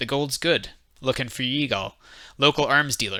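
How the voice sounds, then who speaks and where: Putting on a character voice, a man drawls at a moderate pace and medium pitch with ordinary pitch variation, on a very clean recording with a silent background. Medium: read story. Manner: terse, drawling.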